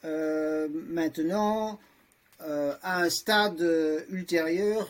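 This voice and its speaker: The speaker is a man. His pitch is high. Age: 60s. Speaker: lawyer, transhumanist association vice-president. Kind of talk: podcast discussion. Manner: halting, many hesitations.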